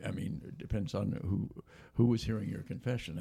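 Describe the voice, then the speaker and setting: A man talks at a fairly quick clip in a fairly low pitch, his dark, mellow tone edged with vocal fry and carried by lively intonation. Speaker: radio host. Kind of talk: radio interview. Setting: studio.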